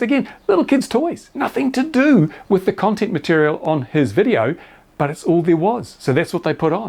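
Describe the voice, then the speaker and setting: Australian-accented man at a moderate pace, with very wide pitch swings. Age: 70s. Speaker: YouTuber reviewing RC model planes and drones. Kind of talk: casual commentary.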